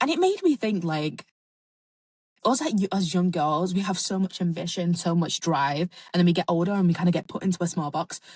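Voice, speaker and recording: A woman's somewhat breathy, fairly low-pitched voice in an animated tone, with ordinary pitch variation, a dry, close sound with no echo, and a quiet background. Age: 20s. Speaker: podcast host. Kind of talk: casual monologue. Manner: fast.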